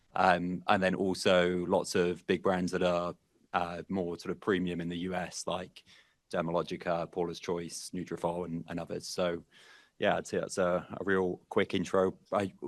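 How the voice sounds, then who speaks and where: A man with a British accent and a very deep, low voice, flat and monotone, against a quiet background. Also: moderate pace. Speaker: in-house privacy lawyer. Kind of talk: panel discussion.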